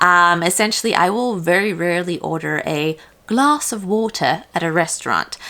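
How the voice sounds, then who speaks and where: A woman with an American accent, fairly low in pitch, at a moderate pace. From South Africa. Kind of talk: casual talk to camera.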